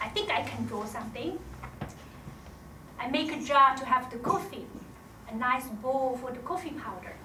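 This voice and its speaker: Speaking in a raised, projected voice with a Chinese accent, a woman uses a high pitch and lively intonation, leaving long, frequent pauses amid noticeable background noise and audible room echo. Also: moderate pace, big swings in loudness. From China, Shanghai. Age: middle-aged. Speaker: storyteller. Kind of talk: stage storytelling. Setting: stage with audience.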